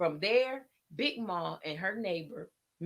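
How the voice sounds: Delivered in a natural reading voice with lively intonation, the speech sits against a quiet background.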